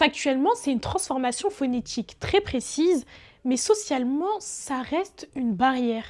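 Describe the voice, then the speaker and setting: On a very clean recording with a silent background, a woman with a high pitch speaks at a fairly slow pace, her pitch swinging very widely. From France, Paris region suburbs. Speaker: journalist. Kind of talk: personal video essay narration.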